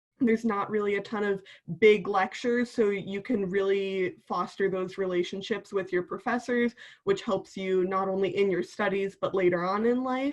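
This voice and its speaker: With a slight Wisconsin accent, a woman speaks in a medium pitch. Her intonation is fairly even and her pace moderate. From Wisconsin, Milwaukee area. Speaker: university student. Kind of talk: panel introduction.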